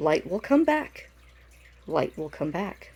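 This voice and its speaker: A squeaky put-on character voice at a middle pitch, fairly slow and with very wide pitch swings. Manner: defiant.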